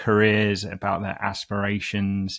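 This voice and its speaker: A man speaks at a fairly slow pace with a London accent, his pitch fairly low. The recording is very clean, with a silent background. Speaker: CEO of executive search firm, podcast host. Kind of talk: interview. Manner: hesitant with frequent fillers.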